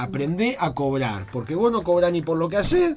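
Against noticeable background noise, a man with a high pitch talks at a fairly quick pace, his voice swinging very widely in pitch. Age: 40s. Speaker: lawyer and comedian. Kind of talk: casual chat.

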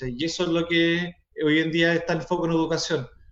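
Fairly high-pitched man with a Chilean accent, at a moderate pace. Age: 30s. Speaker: teacher. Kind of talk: casual chat.

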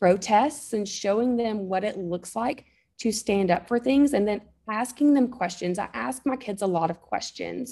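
A woman with a slight Southern US accent, medium-pitched and dark, mellow in tone, with lively intonation at a fairly slow pace, in a very clean recording with a silent background. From North Alabama, US South. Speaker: mom, photographer and podcaster. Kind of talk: casual interview chat.

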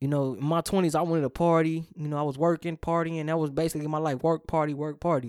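A man with a fairly high pitch speaks at a very fast pace, with fairly even intonation and hardly any pauses, in a dry, close sound with no echo on a very clean recording with a silent background. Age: 30s. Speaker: podcast host. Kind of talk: casual chat. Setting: studio.

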